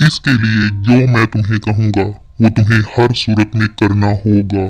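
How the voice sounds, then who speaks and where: At a fairly slow pace, a man puts on a cartoonish character voice pitched fairly low. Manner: commanding, menacing.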